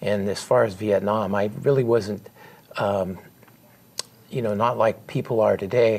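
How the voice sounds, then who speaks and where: With an American accent, a man talks at a fairly slow pace with fairly even intonation and long, frequent pauses. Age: 60s. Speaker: war veteran and author. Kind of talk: interview. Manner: halting.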